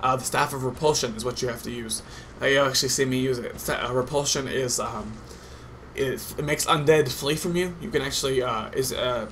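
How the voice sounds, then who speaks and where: Fairly quick, medium-pitched male speech with fairly even intonation and audible room echo. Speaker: gaming commentator. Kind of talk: gameplay commentary. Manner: naturally fast.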